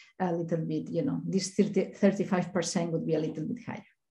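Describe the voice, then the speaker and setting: Very fast speech with vocal fry and a Spanish accent keeps fairly even intonation, with audible room echo around it. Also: woman. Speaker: statistician. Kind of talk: conference presentation.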